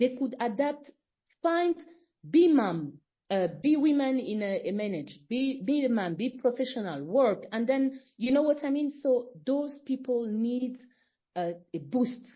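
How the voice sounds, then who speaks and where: With lively intonation, a woman speaks at a fairly slow pace in a high pitch. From Congo. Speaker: foundation founder. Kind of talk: podcast interview. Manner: halting.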